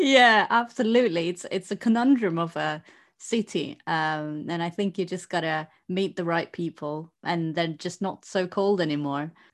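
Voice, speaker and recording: A normal speaking voice comes through at a moderate pace with ordinary pitch variation over a quiet background. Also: woman, fairly low pitch for a woman. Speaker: podcast host. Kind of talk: casual chat. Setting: studio microphone.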